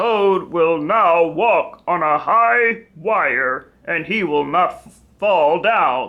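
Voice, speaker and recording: Using a put-on character voice, a woman speaks at a very slow pace with a fairly low pitch, lively intonation, and big swings in loudness. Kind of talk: showman's announcement. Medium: read story.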